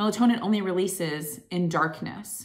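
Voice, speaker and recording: A woman talks at a moderate pace, her pitch varying in an ordinary way, with a quiet background behind her. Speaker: wellness vlogger. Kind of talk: casual vlog chat. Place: home room. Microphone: phone near.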